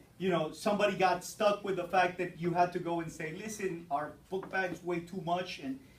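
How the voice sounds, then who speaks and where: In a room with audible echo, a man talks at a fairly quick pace in an animated tone. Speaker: teacher. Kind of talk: classroom lecture. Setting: classroom with students.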